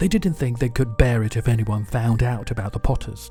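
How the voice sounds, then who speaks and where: A man with lively intonation speaks as music plays in the background. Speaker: English pronunciation teacher. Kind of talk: audiobook reading.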